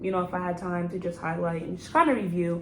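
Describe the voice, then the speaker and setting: A woman at medium pitch and a fairly quick pace, with audible room echo and noticeable background noise. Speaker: new nurse vlogger. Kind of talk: casual vlog talk.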